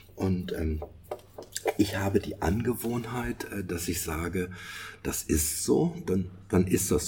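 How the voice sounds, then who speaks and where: A man's very deep, low voice carries a dark, mellow tone and ordinary pitch variation. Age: 60s. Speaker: podcast co-host. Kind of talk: casual chat. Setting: online remote recording. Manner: halting, many fillers and repetitions.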